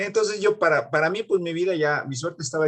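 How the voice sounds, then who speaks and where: A man with a central Mexican accent talks in a somewhat breathy voice. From Mexico City, Coyoacán. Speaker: music teacher and pianist. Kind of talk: interview. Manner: halting, many fillers and repeats.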